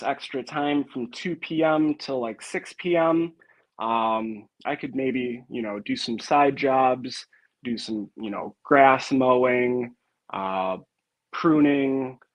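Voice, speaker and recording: A man with a Wisconsin accent, medium pitch, ordinary pitch variation and a very slow pace. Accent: Wisconsin accent, noticeable. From northern Wisconsin. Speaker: log home refinishing contractor. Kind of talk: casual interview.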